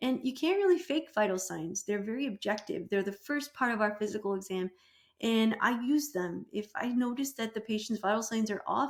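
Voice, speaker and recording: Her pitch is fairly high, and her intonation is lively. The woman sounds somewhat breathy. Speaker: PA program professor. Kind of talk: lecture. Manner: fast, pressured speech.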